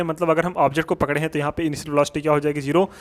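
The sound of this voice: The man's speech runs at a very fast pace.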